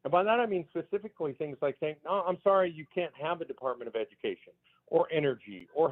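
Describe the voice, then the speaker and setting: At a fairly quick pace, a man talks with a fairly high pitch. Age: 60s. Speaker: political activist. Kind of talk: talk radio interview. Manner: animated.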